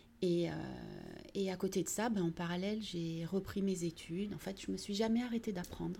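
A woman speaks at a moderate pace with a medium pitch, a dark, mellow tone, and a somewhat breathy quality. Her intonation stays fairly even, broken by long, frequent pauses. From southern France, Vitrolles near Marseille. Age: 40s. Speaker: municipal economy and employment director. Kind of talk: interview. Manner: hesitant, many fillers.

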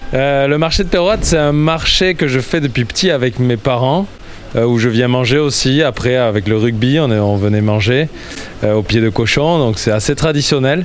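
A medium-pitched man at a fairly slow pace, with lively intonation, very even loudness and noticeable background noise. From Landes, southwest France. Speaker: rotisserie owner, market trader. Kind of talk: interview.

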